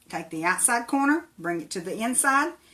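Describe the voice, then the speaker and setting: A woman's fairly high voice with an Appalachian accent, at a moderate pace with lively intonation. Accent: Appalachian hillbilly. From Tennessee. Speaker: crafter. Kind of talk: live craft tutorial. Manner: casual, chatty.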